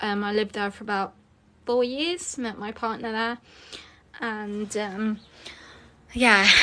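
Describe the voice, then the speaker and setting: Her pitch fairly high and her tone bright and sharp, a woman reads at a fairly slow pace with fairly even intonation and long, frequent pauses. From Lincolnshire, England. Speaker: author and spiritual content creator. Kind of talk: casual live stream talk. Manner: hesitant, many filler sounds.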